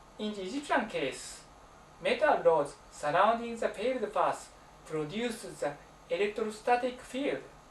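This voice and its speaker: A man with a Japanese accent, high in pitch, with lively intonation at a fairly slow pace, over noticeable background noise. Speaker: alternative science researcher and author. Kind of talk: presentation.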